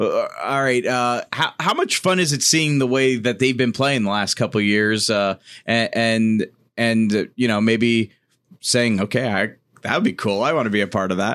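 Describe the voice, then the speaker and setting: A man with a plain, everyday voice speaks at a medium pitch and a moderate pace, with ordinary pitch variation and very even loudness. The background is quiet. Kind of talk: radio pledge drive, live on-air hosting. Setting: radio studio, live. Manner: upbeat, chatty, encouraging, repeats donation number; warm, joking, easygoing with kids.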